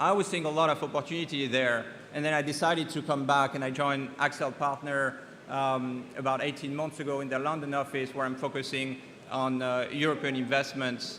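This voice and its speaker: A man speaks at a fairly quick pace with a French accent, his fairly high, bright and sharp voice held in a flat monotone while the room echo is audible. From France. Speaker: venture capital investor. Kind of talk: keynote talk. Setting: conference stage. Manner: halting, many fillers.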